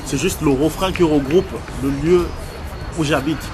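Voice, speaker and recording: Over background music, a man with a fairly high pitch speaks at a moderate pace with ordinary pitch variation, and the room echo is audible. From Congo, then Paris suburbs (Val-de-Marne) from age 12. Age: 20s. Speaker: rapper. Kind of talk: interview. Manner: casual.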